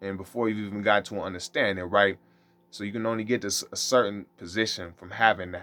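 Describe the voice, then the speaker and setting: A man at a very fast pace, bright, sharp tone, fairly even intonation and big swings in loudness. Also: fairly low pitch for a man. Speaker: religious teacher. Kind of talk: monologue teaching.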